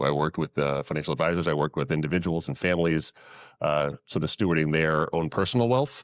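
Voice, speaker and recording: Very fast and very deep in pitch, a man with a New England accent speaks with ordinary pitch variation on a very clean recording with a silent background. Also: dry, close sound with no echo. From New England, Massachusetts. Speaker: investment advisor to nonprofits. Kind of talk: panel talk to live audience.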